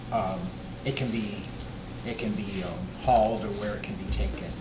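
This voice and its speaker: Soft-spoken, a man talks with ordinary pitch variation amid noticeable background noise and audible room echo. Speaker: transfer station manager. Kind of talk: public meeting presentation.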